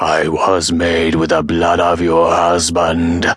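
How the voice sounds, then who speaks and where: In a put-on character voice, a man hisses with a very deep, raspy, menacing tone at a fairly slow pace. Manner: hissing, menacing.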